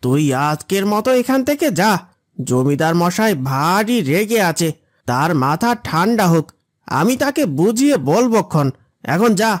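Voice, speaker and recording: A man uses a cartoonish character voice, pitched high and swinging very widely, at a fairly slow pace. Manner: curt, condescending.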